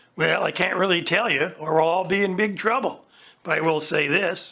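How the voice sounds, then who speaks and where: The put-on character voice is raspy and sits at a middle pitch. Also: moderate pace. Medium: audio drama. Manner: pushy, demanding.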